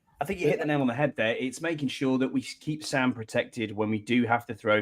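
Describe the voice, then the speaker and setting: With a Northumbrian accent, the speaker talks at a very fast pace with ordinary pitch variation. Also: man, medium pitch for a man. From northern England, Northumberland. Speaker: podcast co-host. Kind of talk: casual chat.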